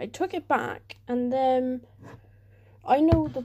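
A woman with a British accent speaks very slowly in a dark, mellow tone. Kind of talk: casual talk to camera.

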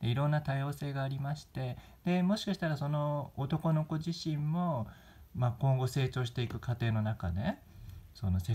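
Somewhat breathy and with a dark, mellow tone, a man speaks on a very clean recording with a silent background. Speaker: YouTuber. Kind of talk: news commentary vlog. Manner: polite, formal.

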